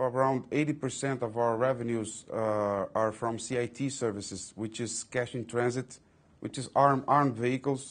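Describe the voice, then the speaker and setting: A man speaks in a Portuguese accent at a fairly slow pace. His pitch is medium. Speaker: company executive. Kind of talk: interview. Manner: halting, many fillers and repetitions.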